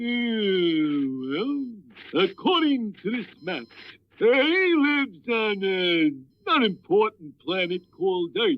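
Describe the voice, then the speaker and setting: A cartoonish character voice at middle pitch speaks at a fairly slow pace. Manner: hesitant, stammering with uh.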